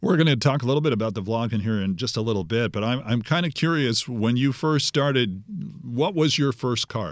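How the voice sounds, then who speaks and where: A man's normal speaking voice at medium pitch, lively in intonation, in a very clean recording with a silent background. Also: fairly quick pace. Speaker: podcast host. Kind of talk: casual interview.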